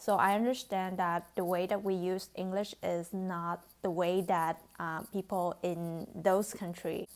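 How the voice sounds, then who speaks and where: On a very clean recording with a silent background, a woman speaks fairly slowly in a Vietnamese accent. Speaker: beauty vlogger. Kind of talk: vlog talk to camera. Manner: hesitant, with fillers.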